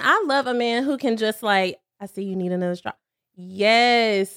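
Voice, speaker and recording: A woman's fairly high voice at a moderate pace, dry and close with no echo. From North Carolina (rural Cherryville). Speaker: lash business owner, single mother. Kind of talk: casual chat. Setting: home studio.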